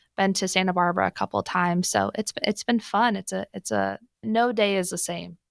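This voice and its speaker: In a normal speaking voice at medium pitch, a woman talks at a fairly quick pace, the sound dry and close with no echo in a very clean recording over a silent background. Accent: American. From US Pacific Northwest (Portland, Oregon). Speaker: financial firm staff member. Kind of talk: interview.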